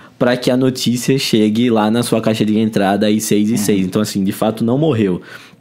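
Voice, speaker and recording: A man speaks with a São Paulo accent. His pitch is fairly low. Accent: sounds like São Paulo. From Brazil, Alagoas. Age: 20s. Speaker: marketing head. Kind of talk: interview. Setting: event venue.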